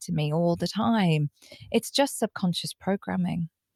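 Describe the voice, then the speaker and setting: A woman with a British accent speaks at a medium pitch with lively intonation, the sound dry and close with no echo. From UK. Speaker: psychotherapist and recovery coach. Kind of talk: podcast interview.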